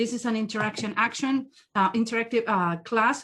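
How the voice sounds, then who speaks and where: A woman with a strong non-native accent speaks at a moderate pace, her fairly high pitch showing ordinary variation. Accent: strong foreign. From South America. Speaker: body language trainer, profiler. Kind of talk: interactive training webinar.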